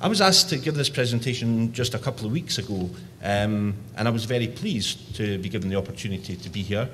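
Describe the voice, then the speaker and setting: A man with a strong Scottish accent and a medium pitch, talking very fast with audible room echo. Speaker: youth organisation director. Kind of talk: conference presentation. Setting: conference session.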